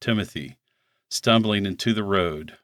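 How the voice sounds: Against a quiet background comes a natural reading voice.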